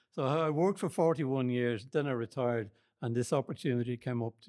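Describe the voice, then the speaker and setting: In a very clean recording over a silent background, a man speaks with a Dublin accent. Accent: Dublin Irish. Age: 70s. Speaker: men's shed member. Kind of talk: interview.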